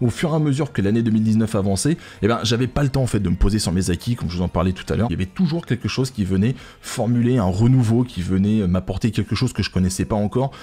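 Very fast, somewhat breathy delivery from a man, fairly low in pitch, with a dark, mellow tone and lively intonation. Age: 30s. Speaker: gaming YouTuber and streamer; gaming YouTuber, streamer. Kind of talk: casual vlog address to viewers. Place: home room. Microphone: studio mic.

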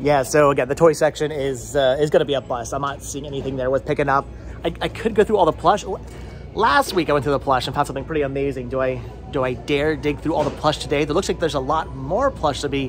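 Over faint music in the background, a man talks at a very fast pace with ordinary pitch variation. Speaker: thrift vlogger. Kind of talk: casual vlog chat. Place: shop. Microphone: phone near.

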